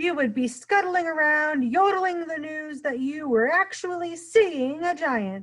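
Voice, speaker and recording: A woman's high-pitched put-on character voice at a moderate pace. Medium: read story. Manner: mangled grammar, playful made-up words.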